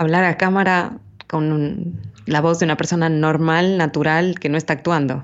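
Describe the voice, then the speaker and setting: A woman talks at a moderate pace in a fairly low pitch. Her intonation stays fairly even. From Ecuador, Quito. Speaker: voice actress and commercial announcer. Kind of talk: interview.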